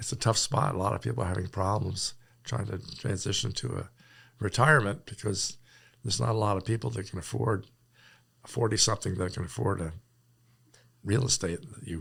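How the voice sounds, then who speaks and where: The speech comes at a fairly quick pace with long, frequent pauses, vocal fry and very wide pitch swings, in a very clean recording with a silent background. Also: man, fairly low pitch for a man. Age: 70s. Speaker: farmer. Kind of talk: interview. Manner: halting.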